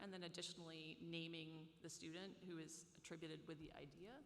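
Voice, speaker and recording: In a room with audible echo, a woman talks at a moderate pace with a bright, sharp tone. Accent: American. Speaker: professor. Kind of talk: lecture.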